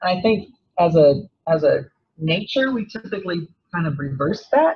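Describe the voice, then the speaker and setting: Lively intonation colors an ordinary speaking voice. The pace stays moderate. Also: woman. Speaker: seminar speaker. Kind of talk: lecture. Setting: seminar room with audience.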